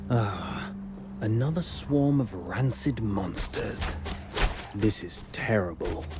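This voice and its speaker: Speaking in a put-on character voice at a fairly low pitch, a man talks very slowly with long, frequent pauses over loud background noise. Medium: video game.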